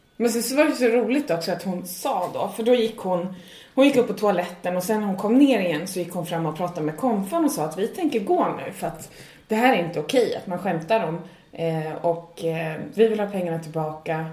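Amid audible room echo and noticeable background noise, a woman speaks at a moderate pace and medium pitch with lively intonation. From Sweden. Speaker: stand-up comedian and podcast co-host. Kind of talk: casual chat.

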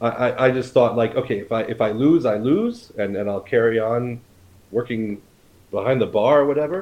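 A man with an American accent speaks in a medium pitch at a moderate pace. His pitch variation is ordinary. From United States. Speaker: chef and cookbook author. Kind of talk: casual interview. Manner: hesitant, frequent repetitions and fillers.

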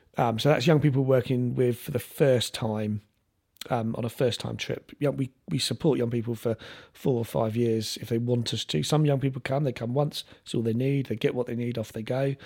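Speaking with a London accent, this voice has a dark, mellow tone, a moderate pace and fairly even intonation, captured in a very clean recording with a silent background. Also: man, medium pitch for a man. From South London. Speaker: sailing charity chief executive. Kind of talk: casual chat.

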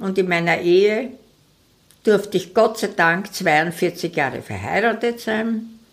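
Speaking at a very slow pace, a woman keeps a medium pitch with ordinary variation. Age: 80s+. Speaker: retired singer. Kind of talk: interview. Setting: home dining room.

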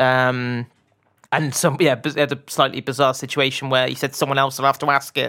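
A man speaks in a monotone with flat intonation. His tone is bright and sharp. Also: medium pitch for a man, moderate pace. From Bath, southwest England. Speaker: football journalist. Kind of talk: casual interview chat. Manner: hesitant, many fillers and restarts.

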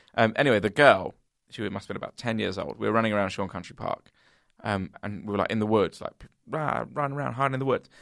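In a very clean recording with a silent background, a man talks at a very fast pace with vocal fry. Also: fairly low pitch for a man, ordinary pitch variation. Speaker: comedy podcast co-host. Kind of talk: casual chat. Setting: office.

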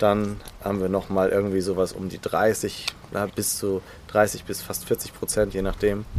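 Over noticeable background noise, a man talks at a moderate pace with a fairly low pitch and monotone, flat intonation. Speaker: executive coach. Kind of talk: interview. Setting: outdoors in a garden.

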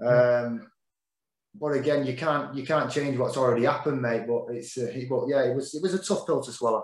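Speaking with a Mancunian accent, a man moves at a fairly quick pace with ordinary pitch variation. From Manchester, northern England. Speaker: former professional boxer. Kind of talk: casual interview chat.

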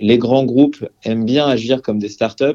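A man's tone is dark and mellow. He keeps a moderate pace with fairly even intonation. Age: 30s. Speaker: entrepreneur, HR tech company founder. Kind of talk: interview. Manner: hesitant, many fillers.

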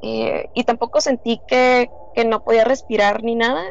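This woman has a fairly high pitch and fairly even intonation. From Tijuana, Mexico. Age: 20s. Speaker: guest sharing paranormal experience. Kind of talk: testimony.

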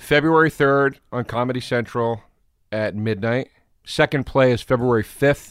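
A man with a normal speaking voice talks at a moderate pace in a medium pitch with fairly even intonation, the sound dry and close with no echo and the recording very clean over a silent background. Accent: American. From Pennsylvania, Philadelphia suburbs. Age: 30s. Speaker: comedian. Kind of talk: casual chat.

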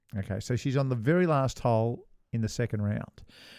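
A man with an Australian accent and a dark, mellow tone, on a very clean recording with a silent background. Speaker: podcast co-host, former professional golfer. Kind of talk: casual chat.

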